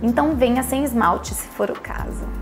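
Clear music can be heard behind the speaker. She is a woman talking at a moderate pace. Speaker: dermatologist. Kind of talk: clinic welcome / patient information video. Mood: warm, cheerful. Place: office.

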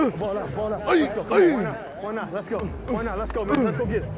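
A man talks at a fairly quick clip against loud background noise, the sound itself dry with no echo. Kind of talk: pregame pep talk. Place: stadium. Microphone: lapel.

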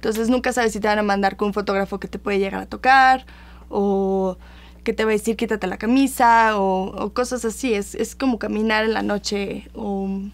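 Her intonation monotone and flat, a woman of medium pitch speaks at a moderate pace. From Mexico City. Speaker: model and actress; interview guest, actress. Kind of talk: casual interview chat. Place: studio.

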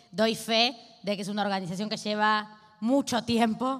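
A woman with a strong Argentine accent speaks at a medium pitch over a quiet background. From Argentina. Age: 20s. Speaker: activist and legislator; guest. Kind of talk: talk at a panel discussion. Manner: fast; speeds up when agitated. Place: hall. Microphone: handheld.

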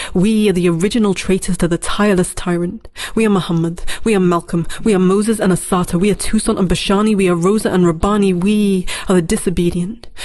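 At a very fast pace, a woman speaks with a medium pitch, monotone, flat intonation and very even loudness. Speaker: spoken word poet. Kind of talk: spoken word poem, defiant and rhetorical, performed as a collective 'we' declaration. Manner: impassioned, incantatory, with emphatic rhythmic cadence and a refrain-like repetition; fiery, defiant, and resolute, building in intensity like a rallying protest cry. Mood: defiant, passionate. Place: studio.

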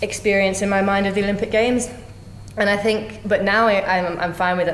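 A woman speaks very fast in an Australian accent, with ordinary pitch variation. The room echo is audible and light background noise runs underneath. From Australia (Brisbane). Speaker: Olympic kayaker and calisthenics coach; new coach. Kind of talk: interview. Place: office.

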